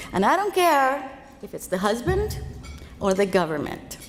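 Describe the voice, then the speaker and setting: Noticeable background noise beneath a woman's high voice, moderate in pace, with very wide pitch swings. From Cuba, then Los Angeles from age fourteen. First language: Spanish. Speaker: financial speaker. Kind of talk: keynote speech.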